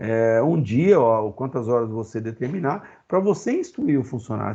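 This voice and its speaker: The man has a dark, mellow tone. The background is quiet. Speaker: occupational safety teacher. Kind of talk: online lecture. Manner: fast; animated.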